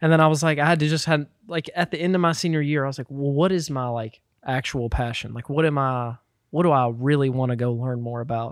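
A man with a fairly high pitch, an American accent and a very fast pace. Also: ordinary pitch variation. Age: 20s. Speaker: musician. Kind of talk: casual chat.

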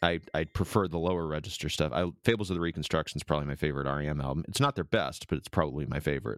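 A man talks very fast with hardly any pauses, his pitch very deep and low with ordinary variation and vocal fry. The recording is very clean, with a silent background and a dry, close sound with no echo. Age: 40s. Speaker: podcast guest, hobbyist guitarist. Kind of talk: casual chat.

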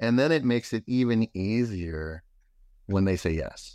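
A man with a fairly low voice speaks with lively intonation. The recording is very clean, with a silent background and a dry, close sound without echo. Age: 50s. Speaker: entrepreneur and Marine veteran. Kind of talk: interview. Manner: energetic.

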